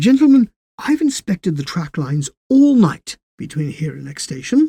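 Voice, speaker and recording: This is a put-on character voice at middle pitch. The pace is moderate. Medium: read story. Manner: dry, unflappable, cryptic.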